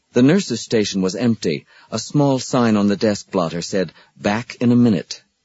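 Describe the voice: The pitch varies in an ordinary way throughout this plain reading aloud.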